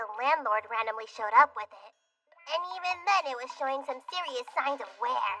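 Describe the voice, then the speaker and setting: A female-sounding voice performs a put-on character voice at a high pitch and moderate pace. Faint music plays in the background. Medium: fan dub.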